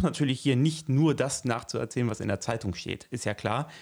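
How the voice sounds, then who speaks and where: Moderate pace and ordinary pitch variation from a man, medium in pitch. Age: 30s. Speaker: local politician and teacher. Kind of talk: casual interview. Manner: hesitant, many fillers.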